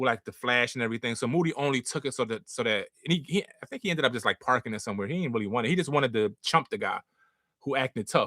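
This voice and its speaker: A man with an American accent speaks at a very fast pace in an animated, bright, sharp tone at medium pitch, the sound dry and close with no echo. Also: ordinary pitch variation. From Philadelphia, North Philly. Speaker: live stream host. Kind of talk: casual storytelling on live stream. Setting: live stream with chat. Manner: animated, rapid slangy storytelling.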